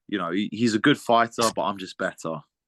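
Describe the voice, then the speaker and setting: Over a quiet background, a man with a British accent speaks at a moderate pace in a bright, sharp tone. His intonation is fairly even, and the sound is dry and close with no echo. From Britain, Lithuanian heritage. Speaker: MMA fighter. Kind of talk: interview. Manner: halting, many repeats and fillers.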